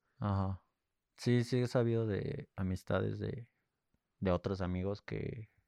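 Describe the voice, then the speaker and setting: Recorded dry and close with no echo, a man with a fairly low pitch and a dark, mellow tone talks at a fairly slow pace, with long, frequent pauses. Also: ordinary pitch variation. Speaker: podcast co-host. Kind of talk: casual chat.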